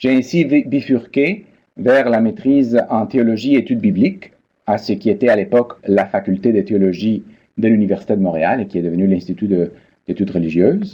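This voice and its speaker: Keeping his loudness very even, a man at a medium pitch talks at a moderate pace with lively intonation. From Peru. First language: Spanish (speaking French). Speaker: biblical studies professor. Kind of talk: lecture. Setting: online seminar. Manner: formal.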